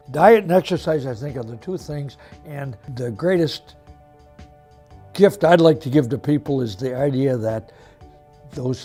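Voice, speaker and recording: Behind a man's lively intonation, music plays in the background. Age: 80s+. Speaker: retired active senior. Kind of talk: interview answer.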